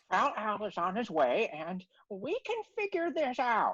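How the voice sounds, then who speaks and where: At a moderate pace, a female-sounding voice does a put-on character voice pitched fairly high for a woman. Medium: audio drama. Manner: folksy, mild.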